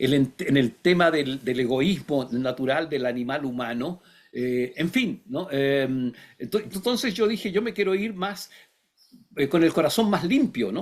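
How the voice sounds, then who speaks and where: This man's fairly high voice swings very widely in pitch. He speaks at a fairly slow pace. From Chile. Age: 60s. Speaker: philosopher and writer. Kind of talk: interview. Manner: halting, many fillers; reflective.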